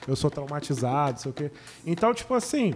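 A man talks at a moderate pace with very wide pitch swings. Noticeable background noise can be heard. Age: 30s. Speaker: podcast co-host. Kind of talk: casual chat.

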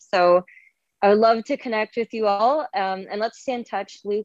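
A woman speaks with a Canadian accent in a plain, everyday voice. Her pitch is medium and her intonation fairly even. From Canada, rural Ontario. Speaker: travel blogger. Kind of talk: casual interview. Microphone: dodgy audio from bad internet connection.

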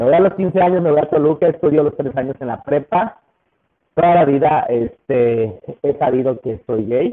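With a Mexican accent, a man speaks at a moderate pace in a fairly high pitch, his tone animated. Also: ordinary pitch variation. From Mexico. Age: 30s. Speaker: business owner. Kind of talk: interview.

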